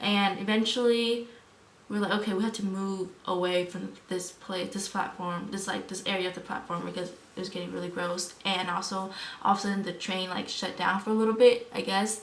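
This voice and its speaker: Amid noticeable background noise and audible room echo, a woman talks at a medium pitch. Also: fairly quick pace. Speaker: vlogger. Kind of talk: casual vlog storytelling. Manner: animated; fast.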